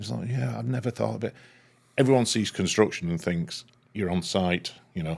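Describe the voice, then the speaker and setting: A man with a Lancashire accent, very deep, low pitch and very wide pitch swings, at a fairly quick pace broken by long, frequent pauses. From northern England, Leigh, Lancashire. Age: 60s. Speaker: structural engineer. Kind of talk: casual interview chat.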